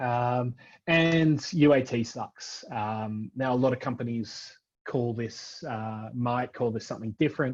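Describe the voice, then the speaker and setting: The background is quiet as a man with an Australian accent speaks at a fairly slow pace. His medium-pitched voice shows ordinary pitch variation. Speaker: front-end software architect. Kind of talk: tech talk presentation. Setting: virtual event. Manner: many fillers (um, uh).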